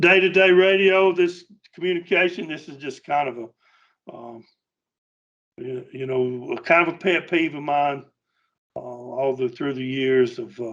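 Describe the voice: With a fairly bright tone, a man speaks at a fairly slow pace, his fairly high pitch showing ordinary variation.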